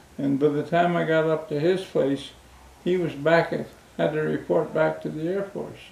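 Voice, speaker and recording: The intonation is monotone and flat. Words come at a moderate pace. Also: man, fairly high pitch for a man. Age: 80s+. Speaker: war veteran. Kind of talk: interview answer.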